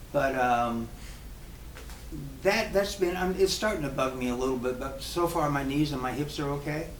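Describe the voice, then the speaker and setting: A man with an American accent speaks at a fairly high pitch and a moderate pace, with ordinary pitch variation and long, frequent pauses. Noticeable background noise and audible room echo are present. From military family, US with high school in Germany. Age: 70s. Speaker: professional drummer. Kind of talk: casual Q&A at a clinic. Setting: drum shop with live audience. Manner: halting, with many repeated words.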